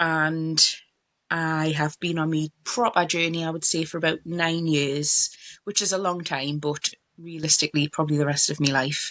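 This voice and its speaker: At a moderate pace, a woman with a Geordie accent speaks in a very deep, low pitch with monotone, flat intonation. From northeast England, Tyneside. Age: 30s. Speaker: mobile beauty business owner. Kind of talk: interview.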